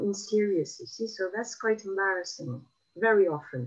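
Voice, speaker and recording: A woman speaks at a moderate pace and medium pitch, her voice making very wide pitch swings. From southern France (Marseille, Provence). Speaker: guest speaker on Provence. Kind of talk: interview conversation. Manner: hesitant, many fillers.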